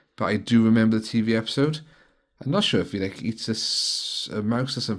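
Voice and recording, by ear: The surroundings are quiet. A natural voice reads the text aloud.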